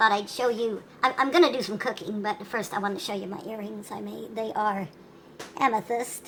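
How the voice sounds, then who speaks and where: A woman with a fairly high pitch talks at a fairly quick pace, her loudness swinging widely over noticeable background noise. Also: ordinary pitch variation. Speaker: hippie homesteader. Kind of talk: casual cooking demo to camera.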